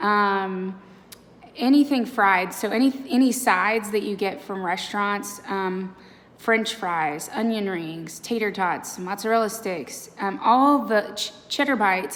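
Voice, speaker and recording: Lively intonation carries the moderately paced speech, with noticeable background noise underneath. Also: woman. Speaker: vlogger. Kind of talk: casual vlog update. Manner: casual with many fillers.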